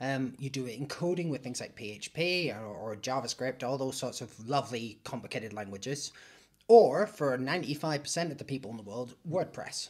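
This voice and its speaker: In a very clean recording with a silent background, a man with a Northern Irish accent speaks at a medium pitch and a fairly quick pace, with lively intonation and big swings in loudness. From Northern Ireland. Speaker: IT hosting business owner. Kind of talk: casual interview chat.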